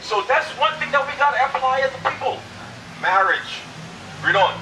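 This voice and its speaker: Over noticeable background noise, a man uses a raised, projected voice at an extremely high pitch and a fairly quick pace. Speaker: street preacher. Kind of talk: street preaching debate, argumentative. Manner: insistent, forceful, talks over others. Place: street.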